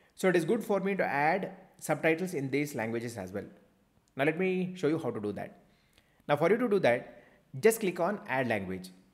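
A man's fairly high voice with vocal fry, very wide pitch swings, a fairly quick pace and long, frequent pauses. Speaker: YouTube coach. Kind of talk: tutorial.

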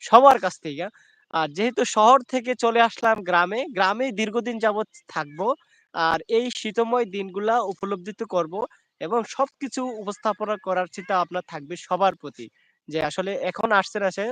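A man talks at a high pitch with ordinary pitch variation. The sound is dry and close with no echo, over a quiet background. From Bangladesh, Sylhet (Sunamganj). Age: 20s. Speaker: YouTube livestreamer. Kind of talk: casual live stream chat.

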